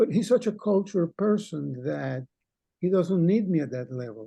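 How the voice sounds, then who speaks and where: The speaker has a Cuban accent and a moderate pace. The intonation is lively. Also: man. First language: Spanish. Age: 80s+. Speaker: poet. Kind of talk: casual discussion.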